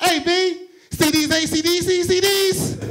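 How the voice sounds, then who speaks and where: A put-on character voice, squeaky and extremely high, speaks with a New York accent. The pace is fairly slow and the intonation flat and monotone. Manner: adamant, boastful.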